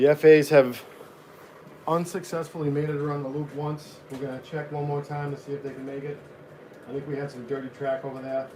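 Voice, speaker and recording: Over noticeable background noise, a man with a fairly high pitch talks at a fairly quick pace in a monotone, flat delivery with big swings in loudness. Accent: American. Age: 40s. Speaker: model train hobbyist streamer. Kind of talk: casual live stream chat.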